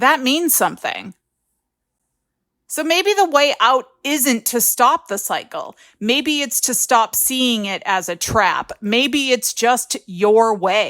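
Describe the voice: A woman's cartoonish character voice, fairly high and fairly bright, with lively intonation at a slow pace on a very clean recording with a silent background.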